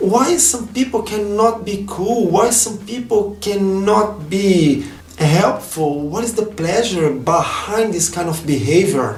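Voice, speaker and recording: A man's high voice in a Brazilian accent, very slow yet with hardly any pauses, lively in intonation, over noticeable background noise. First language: Portuguese. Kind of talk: casual vlog talk to camera.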